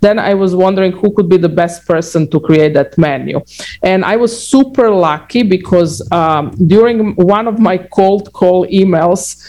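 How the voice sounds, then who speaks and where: In a Croatian accent, a woman speaks at a fairly slow pace and medium pitch with a dark, mellow tone, ordinary pitch variation, and very even loudness. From Croatia (former Yugoslavia). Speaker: restaurant founder and CEO. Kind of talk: interview. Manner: halting, many fillers and repetitions.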